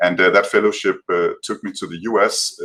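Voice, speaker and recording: A man talks at a fairly quick pace with a European accent. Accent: heavy European. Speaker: tech company policy representative. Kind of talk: panel discussion. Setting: video call. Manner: hesitant, many fillers and repetitions. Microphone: sound problems at start.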